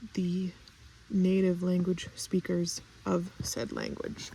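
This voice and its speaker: At a very slow pace, a woman talks in a non-native accent. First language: not English. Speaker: stationery and fountain pen vlogger. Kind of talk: casual vlog chat. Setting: outdoors in orchard. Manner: halting with fillers.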